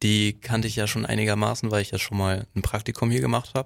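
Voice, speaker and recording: On a very clean recording with a silent background, a man speaks at fairly low pitch with ordinary pitch variation. He has a normal speaking voice and a fairly quick pace. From Heide, Schleswig-Holstein, northern Germany. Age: 20s. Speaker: community radio volunteer. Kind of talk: casual chat.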